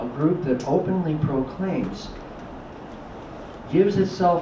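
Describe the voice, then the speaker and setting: Noticeable background noise and audible room echo accompany the recording. A man speaks with an American accent at a moderate pace. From California. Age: 60s. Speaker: whistleblower, former border officer. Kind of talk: public talk. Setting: library talk with audience.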